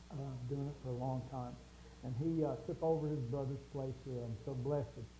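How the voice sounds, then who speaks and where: A man with a medium pitch speaks at a moderate pace with fairly even intonation. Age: 70s. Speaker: show host. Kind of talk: casual chat.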